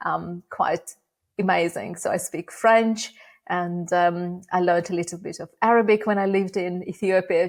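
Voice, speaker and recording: The pace is moderate. The words come in a Russian accent. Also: woman, very clean recording, silent background. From Uzbekistan (Bukhara). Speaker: AI education nonprofit founder. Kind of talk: interview.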